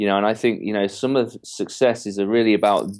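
A man's fairly low-pitched voice with an English accent and monotone, flat intonation, on a very clean recording with a silent background. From England. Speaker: entrepreneur mentor and author. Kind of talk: interview. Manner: confident, cheeky.

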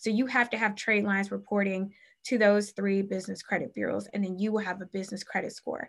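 A woman with an American accent speaks very fast in a monotone, flat medium-pitched voice, recorded very cleanly against a silent background. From US Midwest, Cleveland, Ohio. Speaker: business credit coach. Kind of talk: interview.

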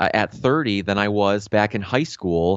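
Here is a man with a normal speaking voice. His pitch is fairly low and his pace fairly slow. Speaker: health coach and podcaster. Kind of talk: interview conversation. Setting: video call. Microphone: good microphone.

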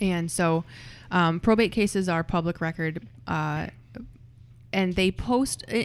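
This is a normal speaking voice with ordinary pitch variation. The recording is very clean and the background silent. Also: woman. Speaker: real estate investor. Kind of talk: casual roundtable discussion.

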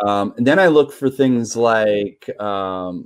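Against a quiet background, a man with an American accent uses an ordinary speaking voice at a medium pitch with ordinary pitch variation. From New York. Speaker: sales professional. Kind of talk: interview.

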